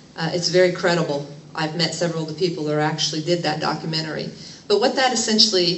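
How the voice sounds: A woman talks at a fairly quick pace with fairly even intonation and a fairly bright tone. Her pitch is fairly low, and audible room echo surrounds her.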